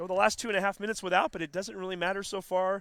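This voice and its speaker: A man speaks in a raised, projected voice, pitched high for a man. Crowd noise fills the background. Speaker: sports play-by-play announcer. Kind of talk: live commentary. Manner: animated.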